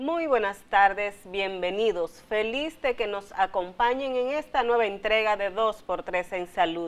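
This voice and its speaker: A woman speaks at a fairly slow pace, her medium pitch showing ordinary variation. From Dominican Republic, Salcedo. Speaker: TV health show host and health journalist. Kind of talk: talk show conversation. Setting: studio. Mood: warm, welcoming. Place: studio. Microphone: lapel.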